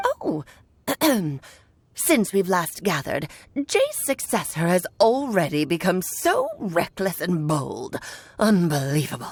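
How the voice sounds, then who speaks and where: A woman in a put-on character voice, medium in pitch, at a fairly slow pace with long, frequent pauses. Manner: haughty, scolding.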